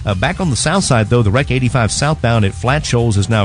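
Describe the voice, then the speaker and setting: Over music in the background, the speaker talks at a very fast pace with ordinary pitch variation. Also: man. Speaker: radio traffic reporter. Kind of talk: radio traffic report. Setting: studio, radio.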